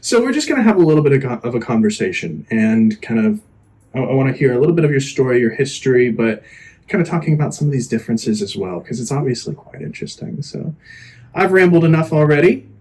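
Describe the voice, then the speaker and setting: Somewhat breathy, very fast speech with lively intonation, in an American accent. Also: man, medium pitch for a man. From Florida, US. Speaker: podcast host. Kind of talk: casual interview chat.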